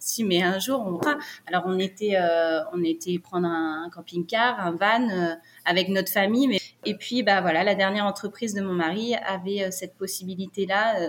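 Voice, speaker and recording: A woman with an ordinary speaking voice, medium pitch, ordinary pitch variation, and moderate pace. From France (Brittany). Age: 30s. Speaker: nurse and expatriate. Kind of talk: interview, personal story.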